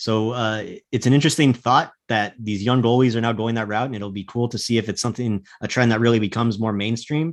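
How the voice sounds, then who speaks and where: With an unremarkable speaking voice at medium pitch, a man talks at a fairly quick pace with fairly even intonation and hardly any pauses against a quiet background. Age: 30s. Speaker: hockey analyst. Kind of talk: casual chat.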